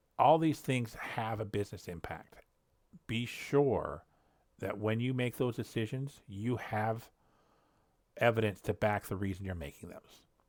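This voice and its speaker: The recording is very clean with a silent background, and the speaker takes long, frequent pauses, uses ordinary pitch variation, and swings widely in loudness. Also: man, medium pitch for a man. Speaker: cybersecurity incident response lead. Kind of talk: solo educational walkthrough. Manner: fast; halting, searches for words. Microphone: new headset.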